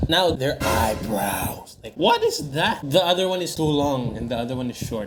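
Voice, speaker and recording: A man talks at a moderate pace, his pitch varying in an ordinary way, while noticeable background noise plays. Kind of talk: comedic makeup video voiceover. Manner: joking, teasing.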